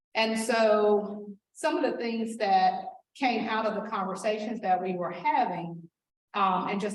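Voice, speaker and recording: Audible room echo around a woman's voice of medium pitch and ordinary pitch variation. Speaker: school district administrator. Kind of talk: presentation. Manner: loud.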